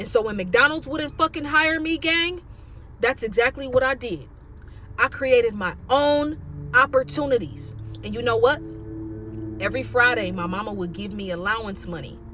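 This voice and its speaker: The delivery is animated and energetic, with long, frequent pauses. Music plays in the background. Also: moderate pace. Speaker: motivational speaker. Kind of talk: motivational monologue. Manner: loud, yelling; animated, energetic.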